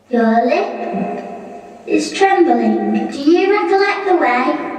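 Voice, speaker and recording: A female-sounding, high-pitched put-on character voice speaks at a very slow pace. Strong echo surrounds it. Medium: audio drama. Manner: calm, solemn.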